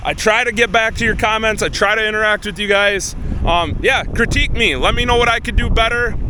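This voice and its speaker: Speech at a fairly quick pace carries audible room echo and noticeable background noise. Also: man, high pitch for a man, fairly even intonation. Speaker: farmer. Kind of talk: casual vlog talk. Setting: outdoors in a field. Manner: fast.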